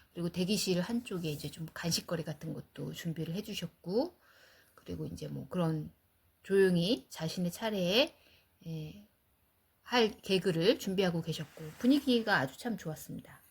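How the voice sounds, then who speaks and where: Vocal fry, lively intonation, and a moderate pace. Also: woman, fairly low pitch for a woman. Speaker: cancer patient and podcast host. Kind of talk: casual chat. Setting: outdoors, walking in a park.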